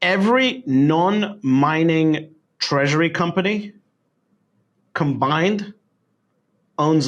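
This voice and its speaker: Speaking in a British accent, a man uses lively intonation at a fairly high pitch. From London, England. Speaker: Bitcoin investor. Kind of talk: podcast interview answer.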